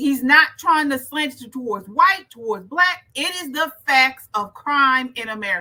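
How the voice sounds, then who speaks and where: The tone is bright and sharp, the voice raised and projected. Intonation is lively at a moderate pace. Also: woman. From Baltimore. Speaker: political commentator. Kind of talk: reaction commentary.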